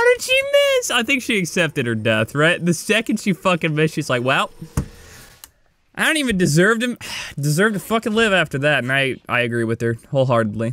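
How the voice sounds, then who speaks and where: A man speaks in a bright, sharp tone at a fairly quick pace. His delivery is animated, with very wide pitch swings. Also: dry sound with no echo. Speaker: gaming YouTuber. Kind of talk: gameplay commentary. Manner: calmer than usual. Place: home room. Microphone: headset.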